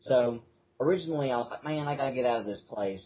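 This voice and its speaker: A medium-pitched man with a Southern accent, talking very fast with ordinary pitch variation. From Mississippi. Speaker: atheist activist. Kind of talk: casual interview. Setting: front porch. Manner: casual, filler-heavy.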